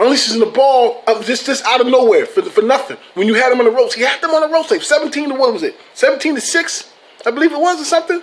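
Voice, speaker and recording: A man with an extremely high pitch and an animated tone talks at a very fast pace, his intonation lively over noticeable background noise. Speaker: sports vlogger. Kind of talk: casual vlog commentary. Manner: animated, swearing rant.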